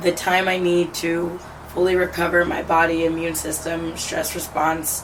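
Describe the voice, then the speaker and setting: The speaker goes at a fairly slow pace with a monotone, flat intonation. Noticeable background noise and audible room echo come through. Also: woman. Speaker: lifestyle vlogger. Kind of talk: casual vlog monologue. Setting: on a balcony. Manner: casual, filler-heavy.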